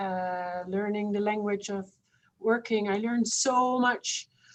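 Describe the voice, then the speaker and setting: A woman's medium-pitched voice with a non-native accent, very slow and with fairly even intonation. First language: not English. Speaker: researcher. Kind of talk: panel discussion. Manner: halting.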